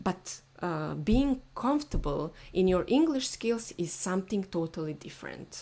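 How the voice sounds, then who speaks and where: With a non-native accent, the voice moves at a fairly slow pace. Its tone is dark and mellow, with very wide pitch swings. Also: woman, medium pitch for a woman, hardly any pauses. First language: not English. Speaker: SEO mindset coach. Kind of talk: solo podcast monologue. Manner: halting, many fillers.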